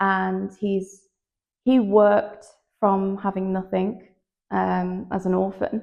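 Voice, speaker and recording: A woman speaks at a medium pitch in a monotone, flat intonation. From near Manchester, northern England. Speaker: fashion model. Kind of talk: interview. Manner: loud; hesitant, many fillers.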